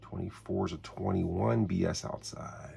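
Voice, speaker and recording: A man speaks quietly at a fairly slow pace. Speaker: tabletop sports game hobbyist. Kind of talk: solo tabletop game play commentary. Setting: home, early morning while others sleep. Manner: easy-going.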